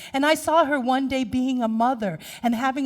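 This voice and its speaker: An animated tone carries the speech at a moderate pace. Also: woman. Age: 50s. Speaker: minister. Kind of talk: sermon.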